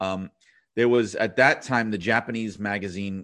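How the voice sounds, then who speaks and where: A man with a New York accent and fairly low pitch speaks at a moderate pace with ordinary pitch variation against a quiet background. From New York City. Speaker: wrestling writer and author. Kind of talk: casual interview chat.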